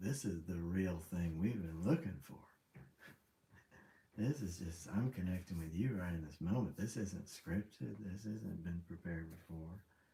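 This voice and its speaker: Very deep, low male voice, somewhat breathy, at a moderate pace with ordinary pitch variation. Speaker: livestreamer. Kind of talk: casual livestream chat. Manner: rambling, halting.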